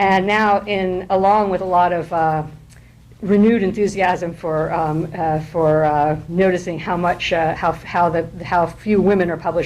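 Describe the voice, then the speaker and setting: Noticeable background noise and audible room echo surround a woman whose intonation stays fairly even. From France, raised bilingual French-English. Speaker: poet and professor. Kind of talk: informal lecture. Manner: halting, many fillers.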